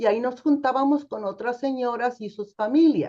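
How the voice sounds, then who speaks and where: The intonation is lively as a woman speaks. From Mexico, Nayarit. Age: 60s. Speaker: theologian. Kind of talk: testimony.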